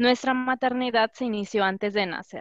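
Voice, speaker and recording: A woman speaks at a moderate pace in a plain, everyday voice, her intonation fairly even, with a dry, close sound, no echo, and a quiet background. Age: 20s. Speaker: doctoral student. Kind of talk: testimony.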